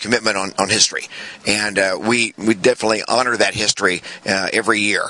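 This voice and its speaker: Very fast speech from a man, with noticeable noise behind him. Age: 60s. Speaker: retired Marine officer. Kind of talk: interview. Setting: outdoors. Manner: halting.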